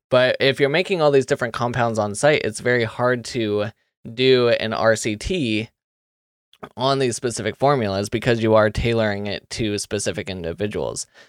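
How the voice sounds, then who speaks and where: A man with an unremarkable speaking voice talks at a medium pitch and moderate pace, with ordinary pitch variation and a dry, close sound with no echo. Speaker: podcast host. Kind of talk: interview.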